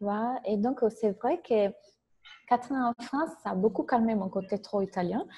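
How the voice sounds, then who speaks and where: A woman's fairly high, somewhat breathy voice with a dark, mellow tone, ordinary pitch variation and a fairly slow pace. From Italy. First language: Italian (speaking French). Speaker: business coach. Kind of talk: interview.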